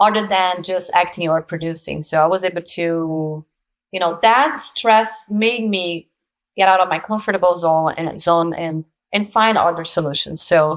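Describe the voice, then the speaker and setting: A woman with a Brazilian accent, fairly low in pitch, with ordinary pitch variation. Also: moderate pace. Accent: Brazilian accent, kept. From Brazil, São Paulo. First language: Portuguese. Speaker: actress and producer. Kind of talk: interview conversation.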